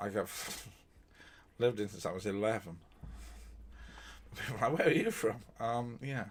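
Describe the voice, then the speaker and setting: Speaking at a moderate pace with ordinary pitch variation, a man with a British accent leaves long, frequent pauses. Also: medium pitch for a man. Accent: British, received pronunciation. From England. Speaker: true crime streamer. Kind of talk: live-stream storytelling with chat. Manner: academic, lecture-like; hesitant, many fillers.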